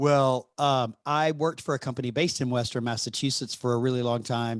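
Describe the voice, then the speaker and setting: Speaking fairly quickly, a man with a Southern US accent holds a medium pitch and fairly even intonation. The recording is very clean, with a silent background. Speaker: podcast host. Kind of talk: interview conversation.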